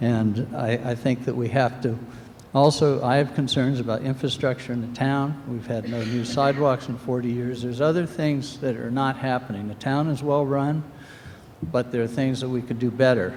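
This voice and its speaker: At a moderate pace, a man talks in an unremarkable speaking voice at a medium pitch with fairly even intonation. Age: 60s. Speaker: resident speaking at town meeting. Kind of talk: public comment at town meeting.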